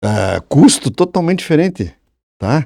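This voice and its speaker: A man speaks at a fairly slow pace in a dark, mellow tone with vocal fry. His pitch swings very widely. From Santa Catarina, Brazil (Brusque area). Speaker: engineering professor and former surveyor. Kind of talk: casual podcast conversation. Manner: halting, with frequent restarts.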